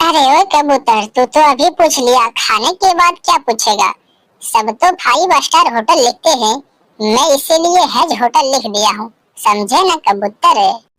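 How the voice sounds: Using a cartoonish character voice, a woman speaks at a moderate pace with a high pitch and very wide pitch swings.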